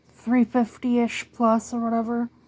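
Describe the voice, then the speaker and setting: A woman speaks in a fairly high pitch with a dark, mellow tone. Her intonation is monotone and flat. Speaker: book youtuber. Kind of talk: casual monologue.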